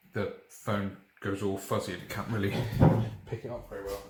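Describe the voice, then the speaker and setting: A soft-spoken man with a British accent and a fairly low pitch at a moderate pace, with audible room echo and noticeable background noise. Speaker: chemistry teacher. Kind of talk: tutorial. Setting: dining room at home in the evening.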